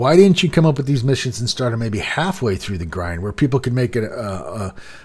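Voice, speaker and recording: With very wide pitch swings, a man talks at a fairly quick pace in a somewhat breathy, medium-pitched voice. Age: adult, working. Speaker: gaming YouTuber. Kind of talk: casual gaming news commentary. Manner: halting, many repeats and fillers.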